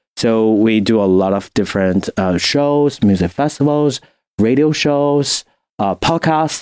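Over a quiet background, a man with a Chinese accent speaks at a fairly slow pace in a medium pitch with lively intonation and a dry, close sound with no echo. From China. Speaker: music industry professional and graduate student. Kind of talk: casual podcast interview. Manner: halting with fillers.

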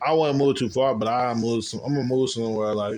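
An American-accented man at a medium pitch talks at a fairly quick pace in an unremarkable speaking voice. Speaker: college student. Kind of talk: casual chat.

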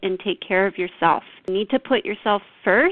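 Using an ordinary speaking voice, a woman talks at a medium pitch with ordinary pitch variation. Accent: Canadian. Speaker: heart defect survivor. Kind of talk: interview.

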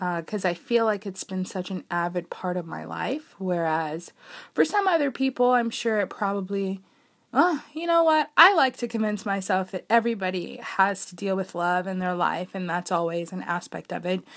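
A woman speaks with medium pitch and ordinary pitch variation. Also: moderate pace, very clean recording, silent background. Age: 20s. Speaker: college student podcast host. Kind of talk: casual solo monologue. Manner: hesitant, many fillers.

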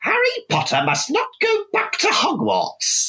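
This is a put-on character voice, pitched extremely high and raspy. It moves at a fairly slow pace. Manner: put-on creature voice.

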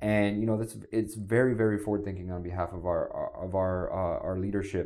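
A man speaks with an American accent at a fairly quick pace. His pitch sits fairly low, and audible room echo surrounds him. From US, South Florida. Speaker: city sustainability official. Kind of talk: podcast interview.

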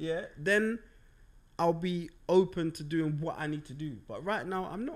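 A man's high-pitched voice at a fairly slow pace, with big swings in loudness. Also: ordinary pitch variation. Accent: South London. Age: 30s. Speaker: podcast host. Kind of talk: casual chat.

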